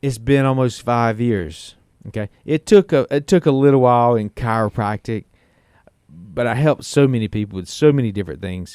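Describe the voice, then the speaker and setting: A man's dark, mellow tone in a very clean recording, silent background, with a dry, close sound with no echo. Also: medium pitch for a man, ordinary pitch variation. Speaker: chiropractor and regenerative medicine doctor. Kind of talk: casual chat. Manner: fast; animated.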